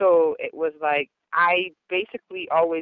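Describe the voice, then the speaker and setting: A woman speaks with an American accent. Her pitch is fairly low and her pace moderate. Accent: American-sounding, speaks proper English. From Jamaica. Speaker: gospel dancehall artist. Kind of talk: radio interview. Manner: talks properly, formal speech that contrasts with her raw patois deejaying.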